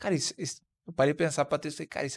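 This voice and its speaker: A man talks at a very fast pace. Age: 30s. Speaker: podcast host; podcast guest or host. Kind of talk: casual chat. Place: studio. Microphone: studio mic.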